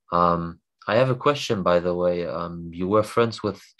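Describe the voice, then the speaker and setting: Fairly even intonation marks this man's very deep, low voice. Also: quiet background. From Germany. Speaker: viewer. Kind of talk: casual chat.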